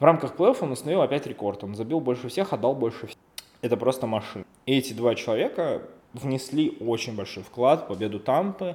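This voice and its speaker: Lively intonation marks this man's unremarkable speaking voice, delivered in a medium pitch at a fairly quick pace. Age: 20s. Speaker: podcast host. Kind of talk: solo podcast monologue.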